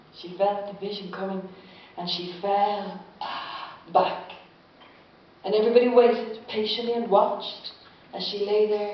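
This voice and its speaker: With noticeable background noise behind her, a woman talks in a flat monotone, her loudness swinging widely and her speech broken by long, frequent pauses. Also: medium pitch for a woman, moderate pace. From Ireland. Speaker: storyteller. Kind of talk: live storytelling performance. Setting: live audience.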